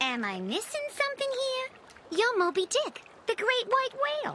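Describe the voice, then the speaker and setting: A woman uses a cartoonish character voice at an extremely high pitch with lively intonation. She keeps a moderate pace over clear background noise. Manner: wisecracking, brash.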